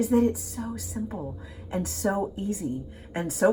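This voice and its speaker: A woman speaks with a Southern US accent and a warm tone. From US Gulf Coast. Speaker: cooking show host. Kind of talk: cooking tutorial. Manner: warm, chatty.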